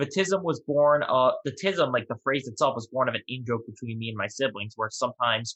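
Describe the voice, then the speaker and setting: Using a normal speaking voice, a man speaks at a fairly quick pace and medium pitch with ordinary pitch variation. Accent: American. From New York. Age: 20s. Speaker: podcast guest, merchandise founder. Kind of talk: interview.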